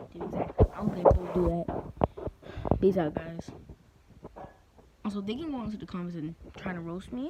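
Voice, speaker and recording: Loudness swings widely, and long, frequent pauses break up the moderate pace. Pitch variation is ordinary, with noticeable background noise. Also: woman, medium pitch for a woman. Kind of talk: casual angry rant to camera.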